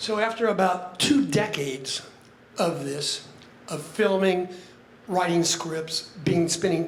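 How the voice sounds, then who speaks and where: A fairly slow pace amid noticeable background noise and audible room echo. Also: man. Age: 70s. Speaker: retired public relations businessman, friend of deceased. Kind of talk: eulogy. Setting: memorial gathering with audience. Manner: emotional, halting.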